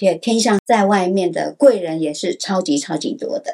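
A woman speaks with very wide pitch swings. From Taiwan, Taipei. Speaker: astrology teacher. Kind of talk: podcast interview explaining astrology.

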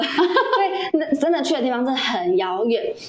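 A woman speaks with very wide pitch swings. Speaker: former overseas volunteer, video team member. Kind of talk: casual interview.

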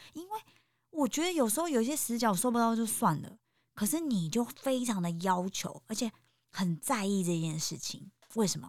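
A woman's fairly high, animated voice with very wide pitch swings. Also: moderate pace. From Taiwan, Taipei. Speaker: podcast host, guesthouse owner. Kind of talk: casual interview.

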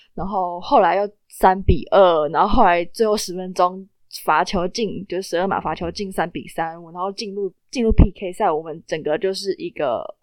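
Over a quiet background, a woman talks at a moderate pace with hardly any pauses. Her medium-pitched voice shows ordinary pitch variation and big shifts in loudness. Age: young. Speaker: student podcast host. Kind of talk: casual news chat. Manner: animated.

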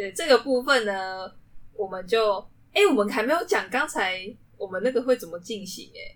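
A woman with a fairly high voice speaks at a moderate pace, her loudness swinging widely and her intonation lively. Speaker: student podcast club host. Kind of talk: casual chat. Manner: animated.

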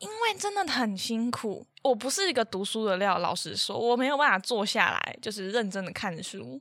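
Speaking with a plain, everyday voice, a woman keeps a moderate pace with hardly any pauses, her fairly high pitch carried by lively intonation. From Taiwan. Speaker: podcast co-host, student. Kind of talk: casual chat.

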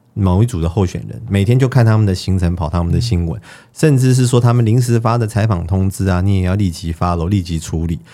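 A man's dark, mellow voice at a fairly low pitch, very fast pace and hardly any pauses. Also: lively intonation. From Taiwan. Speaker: TV producer. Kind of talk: panel discussion.

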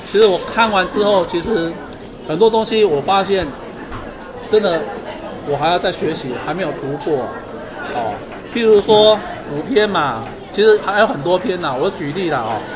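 The speech goes at a moderate pace with long, frequent pauses. Crowd noise sounds in the background. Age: 50s. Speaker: book club member. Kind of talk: casual discussion.

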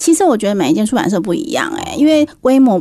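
Talking very fast, a woman with a dark, mellow tone swings her pitch very widely. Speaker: book editor. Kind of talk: radio interview. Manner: direct, frank.

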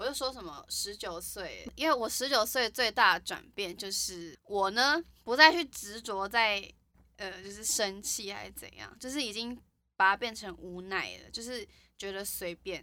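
A woman of medium pitch speaks at a moderate pace in a bright, sharp tone. Her pitch varies in an ordinary way, and her loudness swings widely. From Taiwan, Yunlin. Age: 20s. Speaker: podcast co-host. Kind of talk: casual chat.

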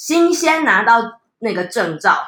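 A woman's bright, sharp tone with very wide pitch swings. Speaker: podcast host and mother. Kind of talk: casual chat. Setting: at home, dinner table.

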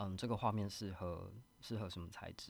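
With a Taiwanese accent, a man talks at a fairly quick pace in a very deep, low pitch with ordinary pitch variation. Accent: Taiwanese Mandarin. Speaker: artist. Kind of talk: interview. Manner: soft-spoken; shy.

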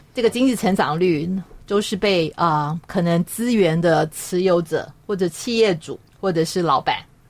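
A woman has a plain, everyday voice. Her pitch is fairly low, with ordinary pitch variation. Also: moderate pace. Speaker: radio host. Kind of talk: radio talk show.

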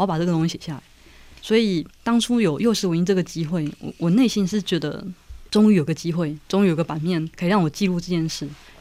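In a very clean recording with a silent background, a woman speaks very fast in a fairly low voice with a dark, mellow tone and ordinary pitch variation. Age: 30s. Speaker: writer. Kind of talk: casual chat.

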